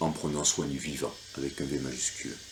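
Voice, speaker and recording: Vocal fry runs through a man's speech at a moderate pace. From France. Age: 50s. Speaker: local election candidate. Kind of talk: reading aloud a campaign leaflet. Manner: hesitant, many fillers.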